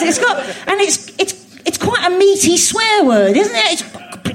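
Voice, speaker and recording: Amid noticeable background noise, a woman speaks with very wide pitch swings. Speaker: comedian. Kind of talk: casual interview chat. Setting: stage with audience, live theatre.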